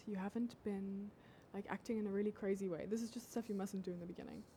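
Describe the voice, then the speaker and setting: The tone is dark and mellow, somewhat breathy, with ordinary pitch variation. The pace is fairly quick. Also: woman. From South Africa. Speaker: dating advice influencer. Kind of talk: casual livestream chat. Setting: TikTok livestream.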